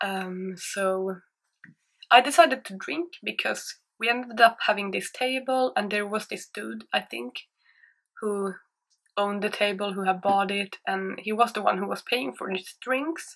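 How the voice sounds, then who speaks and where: Against a quiet background, a woman talks at a fairly slow pace in a Swedish accent. Her intonation is lively. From Sweden. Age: 20s. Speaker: YouTuber. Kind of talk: storytime monologue. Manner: hesitant, insecure. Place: home room. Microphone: webcam.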